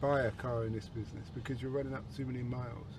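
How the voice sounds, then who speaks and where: Here a man speaks at a fairly quick pace. His voice is somewhat breathy. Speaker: taxi driver podcast host. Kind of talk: casual chat. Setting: in a car.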